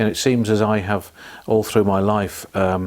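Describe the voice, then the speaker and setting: A man with a Birmingham accent speaks at a moderate pace. His fairly low voice stays monotone, with flat intonation. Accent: Birmingham (Brummie) English. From Birmingham, England (Selly Oak). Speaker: hospital theatre support worker. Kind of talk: oral history interview.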